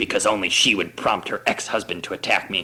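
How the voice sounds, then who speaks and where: A man growls through a put-on character voice at a fairly quick pace. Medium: read story.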